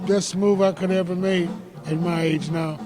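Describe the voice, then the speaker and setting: With music in the background, a man speaks at a high pitch and fairly slow pace with fairly even intonation. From US Midwest (Detroit). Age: 60s. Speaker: jazz vocalist and pianist. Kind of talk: interview. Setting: jazz club.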